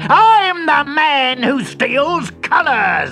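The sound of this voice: A man shouts in a put-on character voice at an extremely high pitch, with big pitch swings and a very slow pace. Faint music plays in the background. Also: vocal fry, bright, sharp tone.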